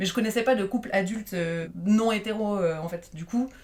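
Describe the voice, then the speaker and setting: Medium-pitched speech from a woman, with ordinary pitch variation. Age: 30s. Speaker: podcast guest. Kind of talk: casual chat.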